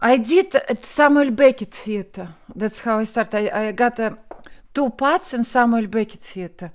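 Speaking in a Russian accent, a woman uses lively intonation at a fairly high pitch and a moderate pace. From Russia, Moscow. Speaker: actress. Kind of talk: interview.

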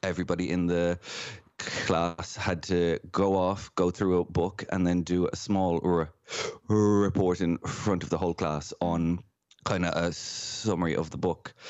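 A man's very deep, low voice, fairly slow and monotone, with flat intonation. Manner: stammering, with repeated sounds.

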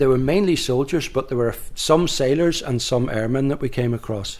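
At a moderate pace, the speaker uses a plain, everyday voice. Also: man. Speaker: local historian and author. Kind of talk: interview.

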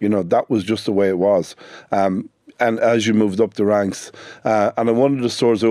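A man with a dark, mellow tone and fairly low pitch speaks at a fairly quick pace with fairly even intonation. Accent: northwestern Irish. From Ireland, Sligo. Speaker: business owner. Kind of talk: radio interview.

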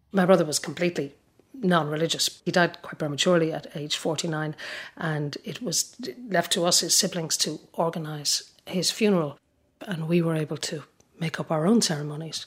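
A woman's low-pitched voice with a slightly husky edge, fairly even intonation and a moderate pace

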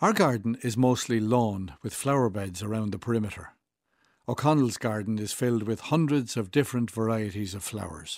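Recorded very cleanly against a silent background, a man of medium pitch talks at a fairly quick pace with ordinary pitch variation. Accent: Irish. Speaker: writer. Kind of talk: reading aloud.

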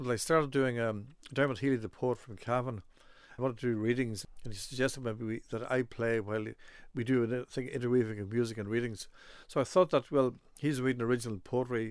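Speaking at a very fast pace, a man of medium pitch uses fairly even intonation in an Irish accent. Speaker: flute player and music scholar. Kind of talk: interview.

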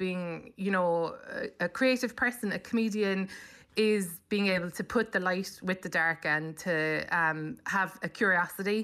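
A woman with a Cork accent, medium pitch, fairly even intonation and a bright, sharp tone, in a very clean recording with a silent background. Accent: Cork Irish. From Cork, Ireland. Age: 40s. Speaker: comedian. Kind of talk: casual chat.

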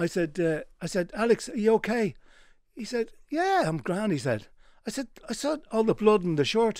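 Speaking at a moderate pace, a man with a high pitch uses lively intonation on a very clean recording with a silent background. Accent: Dublin. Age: 70s. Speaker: tailor and menswear retailer. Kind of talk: radio interview. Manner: halting.

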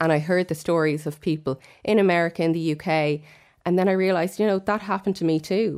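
Spoken very fast in an Irish accent, the voice holds a fairly even intonation and very even loudness, recorded very cleanly against a silent background. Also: woman, fairly low pitch for a woman. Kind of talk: casual radio chat.

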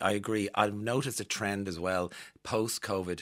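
The speaker has an Irish accent and fairly even intonation. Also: man. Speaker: radio host. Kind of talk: casual interview. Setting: studio.

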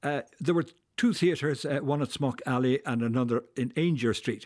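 A man with a Dublin accent speaks at a moderate pace. The recording is very clean, with a silent background. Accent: Irish (Dublin). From Dublin, Ireland. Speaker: historian and author. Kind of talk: radio interview.

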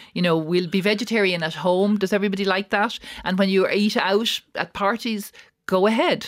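A woman speaks at a medium pitch with fairly even intonation and an Irish accent. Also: moderate pace. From Ireland. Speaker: restaurant owner. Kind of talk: radio interview. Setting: studio.

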